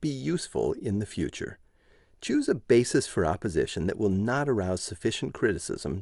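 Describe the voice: Plainly read-aloud text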